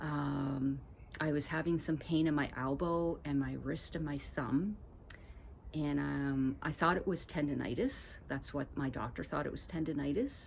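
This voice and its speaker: A woman speaks with vocal fry. Her pitch sits very deep and low. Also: fairly even intonation, fairly slow pace. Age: 50s. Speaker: vlogger. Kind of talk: casual vlog. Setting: outdoors on a deck. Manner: hesitant with fillers.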